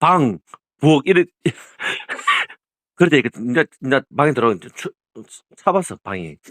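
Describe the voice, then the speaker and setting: A man's fairly high voice with vocal fry and lively intonation, at a moderate pace with long, frequent pauses, dry and close with no echo. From Gyeongsang region, South Korea. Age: 60s. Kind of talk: casual phone conversation.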